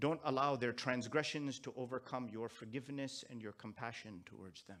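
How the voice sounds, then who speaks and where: Speaking with a Pakistani accent, a man talks at a moderate pace. His pitch is medium, with ordinary variation. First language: Urdu. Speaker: Islamic scholar. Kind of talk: sermon.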